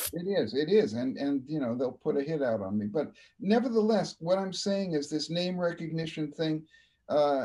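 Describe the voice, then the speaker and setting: Pitched fairly high, a man talks at a moderate pace with very wide pitch swings. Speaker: broadcaster. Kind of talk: interview host, casual conversation.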